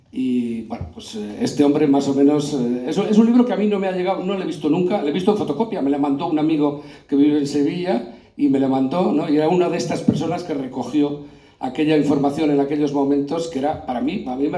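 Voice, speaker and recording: A man talks at a very fast pace in a fairly high voice. Noticeable background noise and audible room echo surround him. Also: ordinary pitch variation. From Castile, Spain (Aranda de Duero area). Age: 60s. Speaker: panel moderator, historical memory activist. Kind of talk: panel discussion.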